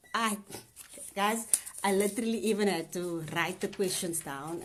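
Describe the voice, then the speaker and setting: A woman talks at a moderate pace in a medium pitch. Her voice is somewhat breathy. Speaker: spoken word artist and nurse. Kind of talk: casual talk to camera, live stream. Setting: live video on social media. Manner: upbeat, chatty.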